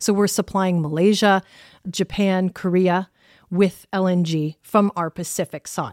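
A woman with an unremarkable speaking voice and a Canadian accent talks at a fairly slow pace in a medium pitch, with fairly even intonation. The recording is very clean and dry, with a close sound, no echo, and a silent background. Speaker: diplomat. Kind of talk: interview.

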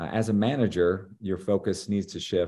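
A man with a fairly low pitch talks in a normal speaking voice at a moderate pace. The background is quiet. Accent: American. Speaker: leadership professor. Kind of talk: interview. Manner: frequent fillers and repetitions.

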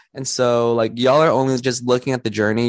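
A man is heard over a quiet background with a dry, close sound and no echo. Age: 20s. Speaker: podcast host. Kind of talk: casual chat.

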